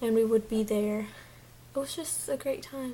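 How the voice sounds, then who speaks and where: In a Mexican accent, a woman talks at a moderate pace and a fairly high pitch. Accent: noticeable Mexican Spanish. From Mexico. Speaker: beauty vlogger. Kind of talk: casual vlog chat.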